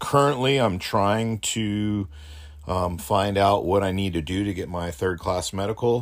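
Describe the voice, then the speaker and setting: A man with a Californian accent speaks at a very deep, low pitch, with ordinary pitch variation. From US, Southern California. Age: 40s. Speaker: podcast co-host, student pilot. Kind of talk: casual chat.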